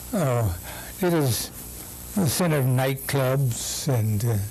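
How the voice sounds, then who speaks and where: Against noticeable background noise and audible room echo, a man speaks at a very slow pace. He has a medium pitch and an American accent. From US Midwest, Kansas City, Missouri. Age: 80s+. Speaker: Baptist pastor. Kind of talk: oral history interview.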